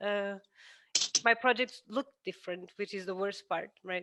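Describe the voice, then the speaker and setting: Speaking at a fairly quick pace, a woman has a fairly high pitch and a bright, sharp tone. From Portugal. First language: Portuguese. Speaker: architect; guest lecturer. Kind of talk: lecture. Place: home room. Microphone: headset.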